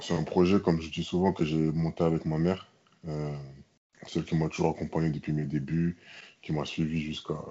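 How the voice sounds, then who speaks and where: Very deep and low, a man's voice moves at a moderate pace. His intonation is monotone and flat. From France, Toulouse. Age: 20s. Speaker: American football player, former taekwondo champion. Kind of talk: interview. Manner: hesitant, with fillers and repetitions.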